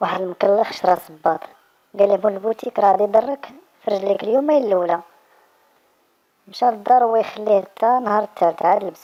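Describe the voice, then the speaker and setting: A woman with a Moroccan accent talks at a fairly quick pace with long, frequent pauses, her medium-pitched voice showing ordinary pitch variation. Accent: Moroccan Arabic (Darija). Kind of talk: joke telling.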